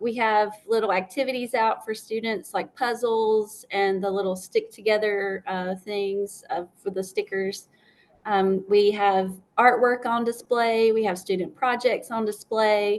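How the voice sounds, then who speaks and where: With a South Carolina accent, a woman speaks at a fairly slow pace with a fairly high pitch and fairly even intonation. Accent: Southern US, South Carolina. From upstate South Carolina. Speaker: school librarian. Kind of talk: interview.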